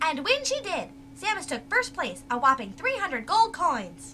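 A put-on character voice runs high in pitch at a moderate pace. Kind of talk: TV sports report. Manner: enthusiastic.

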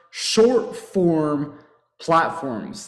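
A man's voice comes with audible room echo. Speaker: webinar presenter. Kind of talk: webinar presentation. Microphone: webcam.

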